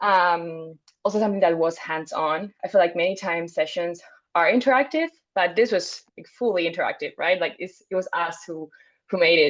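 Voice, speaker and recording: A woman with a Spanish accent and fairly low pitch, at a moderate pace, with ordinary pitch variation and big swings in loudness. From Spain. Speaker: international graduate student. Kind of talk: webinar panel discussion.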